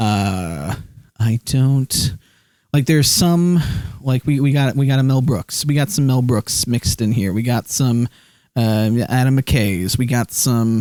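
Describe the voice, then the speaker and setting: The sound is dry and close with no echo, and the loudness stays very even. A man with a dark, mellow tone talks fairly slowly, with ordinary pitch variation. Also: medium pitch for a man. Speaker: streamer. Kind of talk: live stream chat. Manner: halting, filler words.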